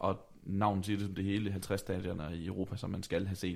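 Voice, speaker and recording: Fairly quick in pace, the speech has a dark, mellow tone and rather level intonation. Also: man. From Denmark, Vejle. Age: 20s. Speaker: podcast host. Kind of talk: casual chat. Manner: halting.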